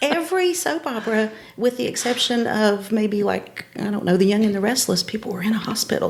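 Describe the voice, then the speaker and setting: Fairly quick, lively speech from a woman with a fairly high-pitched voice and an Appalachian accent, over noticeable background noise. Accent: Appalachian Southern US. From Upper East Tennessee, Appalachian Mountains. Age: 50s. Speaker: elementary school principal. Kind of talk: casual chat.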